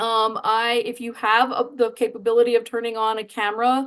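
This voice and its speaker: A woman speaks in a high pitch. Her pace is moderate. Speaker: webinar host. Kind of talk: webinar host introduction.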